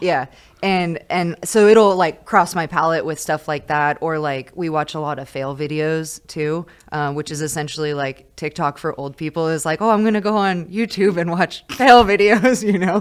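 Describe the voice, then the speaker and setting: A woman's normal speaking voice, fairly low in pitch with ordinary pitch variation, at a moderate pace in an American accent, on a very clean recording with a silent background. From California, small mountain town. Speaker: high school teacher. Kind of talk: casual chat.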